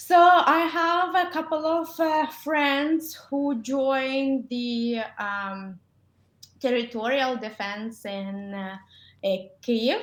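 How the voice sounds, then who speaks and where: A woman with a Ukrainian accent, high in pitch, at a very slow pace with lively intonation and big swings in loudness, on a very clean recording with a silent background. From Ukraine. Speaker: dentist. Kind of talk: interview. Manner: halting, many fillers.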